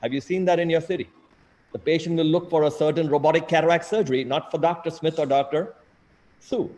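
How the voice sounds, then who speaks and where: A man talks at a very fast pace in a fairly high voice for a man. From India (Mumbai). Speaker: eye surgeon. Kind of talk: lecture. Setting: video call. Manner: animated.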